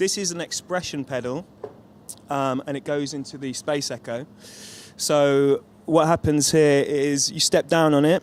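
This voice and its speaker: With a British accent, a man speaks at a fairly slow pace and keeps his intonation fairly even. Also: fairly high pitch for a man. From London, England. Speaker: touring guitarist. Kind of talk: interview.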